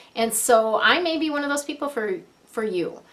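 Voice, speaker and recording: Her intonation is lively. The woman is heard over noticeable background noise. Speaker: feng shui coach and angel card reader. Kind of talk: tarot-style card reading to camera. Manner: hesitant, many fillers; softening voice.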